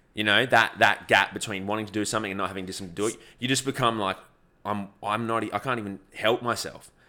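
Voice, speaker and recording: A man's fairly low, bright, sharp voice with an Australian accent, very fast and fairly even in intonation, on a very clean recording with a silent background. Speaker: ultra-endurance athlete and YouTuber. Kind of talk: casual chat.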